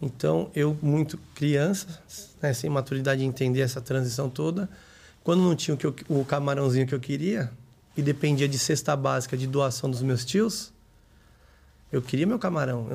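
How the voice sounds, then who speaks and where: There are long, frequent pauses as a man with a fairly high pitch speaks in a somewhat breathy voice. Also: ordinary pitch variation, moderate pace. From São Paulo metro area, Brazil. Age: 30s. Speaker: entrepreneur. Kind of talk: casual interview.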